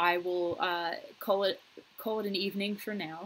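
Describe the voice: Fairly low for a woman, her voice has a fairly bright tone, fairly even intonation and a moderate pace.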